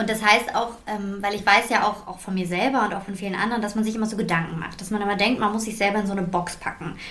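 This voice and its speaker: Very fast, monotone, flat delivery with hardly any pauses and noticeable background noise. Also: woman, medium pitch for a woman. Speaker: podcast host and beauty entrepreneur. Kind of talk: casual chat. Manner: shaky voice at emotional moment.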